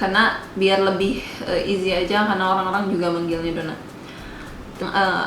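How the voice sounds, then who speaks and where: With a West Javanese accent, a woman speaks in a medium pitch amid noticeable background noise and audible room echo. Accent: Sundanese. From West Java, Indonesia (Sundanese). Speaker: vlogger. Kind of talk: casual Q&A vlog. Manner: hesitant, many fillers.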